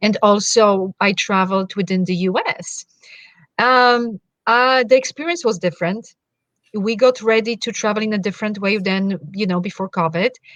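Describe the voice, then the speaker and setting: A woman with a Polish accent is recorded in a dry, close sound with no echo. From Poland. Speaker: wellness coach. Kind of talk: interview.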